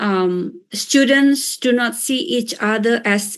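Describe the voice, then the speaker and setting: Against a quiet background, a woman with an Indonesian accent speaks at a very slow pace. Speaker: professor. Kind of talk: lecture. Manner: hesitant with fillers.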